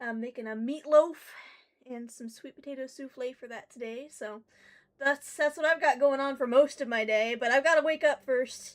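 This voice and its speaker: A woman talks at a high pitch in a relaxed tone with fairly even intonation. Her loudness swings widely. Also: moderate pace. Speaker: game streamer. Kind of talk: casual live stream chat. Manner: relaxed, hesitant with many ums.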